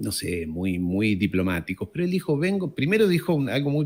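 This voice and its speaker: A man talks at a moderate pace in a fairly high voice. His pitch swings very widely on a very clean recording with a silent background. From France, later Argentina. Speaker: geopolitics commentator. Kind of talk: casual interview conversation.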